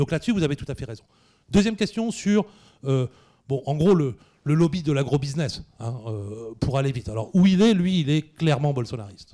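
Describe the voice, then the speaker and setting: A man's fairly high voice with a dark, mellow tone, very wide pitch swings and a moderate pace, on a very clean recording with a silent background. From northern France (Picardy). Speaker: history professor. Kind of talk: Q&A after a public lecture. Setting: cinema hall with audience. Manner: hesitant, many fillers.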